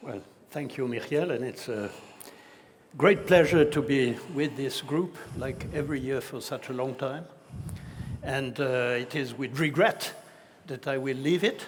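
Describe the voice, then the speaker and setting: A man with a fairly high pitch speaks at a fairly slow pace, taking long, frequent pauses. Audible room echo surrounds his voice. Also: ordinary pitch variation. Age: 70s. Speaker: retired IT executive and event co-host. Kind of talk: on-stage conversation. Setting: stage with audience.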